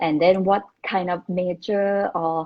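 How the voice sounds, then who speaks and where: Speaking with a Thai accent, a woman uses a medium pitch and ordinary pitch variation. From Thailand, Bangkok. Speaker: former international student. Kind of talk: interview chat. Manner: halting, many fillers.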